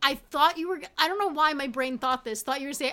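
Her voice is raised and projected, bright and sharp in tone. The woman speaks at a high pitch with ordinary pitch variation. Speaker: podcast host. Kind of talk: casual comedy podcast chat.

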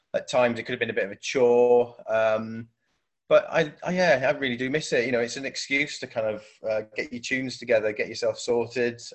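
Speaking with a Welsh accent, a man talks at a fairly quick pace, keeping his medium pitch in fairly even intonation. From South Wales. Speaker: DJ and radio station head. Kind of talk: casual interview. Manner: hesitant, many fillers.

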